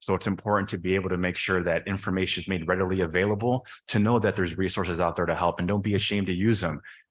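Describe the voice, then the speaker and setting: In a very deep, low voice, a man speaks at a very fast pace with monotone, flat intonation on a very clean recording with a silent background. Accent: Chicago-area. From northern Illinois, Chicago suburbs. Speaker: board of trustees candidate. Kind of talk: candidate forum answer.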